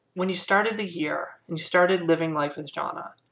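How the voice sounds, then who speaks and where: A woman speaks in a fairly low pitch with a bright, sharp tone. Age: 30s. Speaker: vlogger sharing personal transition story. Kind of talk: personal testimony vlog. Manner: casual, many filler words.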